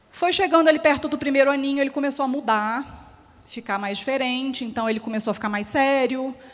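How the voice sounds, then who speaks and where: In a very clean recording with a silent background, a woman with a Minas Gerais accent speaks fairly quickly in an animated tone, her high pitch showing ordinary variation. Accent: mineiro (Minas Gerais) Brazilian Portuguese. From Minas Gerais, Brazil. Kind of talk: closing talk at a symposium. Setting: stage with audience. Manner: animated, conversational.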